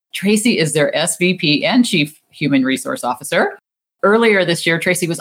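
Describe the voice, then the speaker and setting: Somewhat breathy and fairly low in pitch, a woman speaks at a fairly quick pace with very wide pitch swings. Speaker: podcast host. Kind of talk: interview intro and outro.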